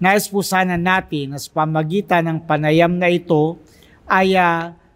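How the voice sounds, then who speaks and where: A man with a high pitch speaks at a very slow pace with fairly even intonation over a quiet background. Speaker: priest. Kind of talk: religious talk / meditation. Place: church. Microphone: studio mic.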